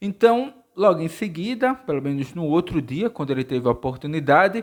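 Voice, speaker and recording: Fairly quick speech with very wide pitch swings. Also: man, fairly high pitch for a man. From Brazil. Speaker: book reviewer. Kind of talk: casual video review monologue. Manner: halting, self-correcting.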